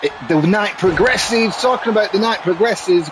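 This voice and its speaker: Noticeable background noise sits behind a man speaking with a Mancunian accent. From Manchester, northern England. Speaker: gaming streamer and commentator. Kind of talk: live game commentary with casual chat. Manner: animated.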